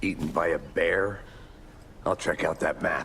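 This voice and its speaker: A man in a put-on character voice at a moderate pace, with clear background noise. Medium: video game. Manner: dry, deadpan.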